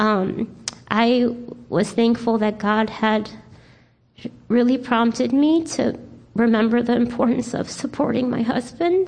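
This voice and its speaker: This woman has an unremarkable speaking voice with a fairly high pitch. She talks at a fairly slow pace with fairly even intonation. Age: 40s. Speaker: church member, stay-at-home mom. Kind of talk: testimony.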